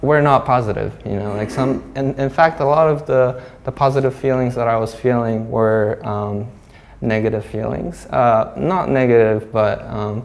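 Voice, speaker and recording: A man with a Japanese accent talks at a medium pitch. His pitch varies in an ordinary way. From Hong Kong, Japanese community. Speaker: glass artist. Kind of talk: artist talk. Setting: gallery with audience. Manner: halting, many fillers.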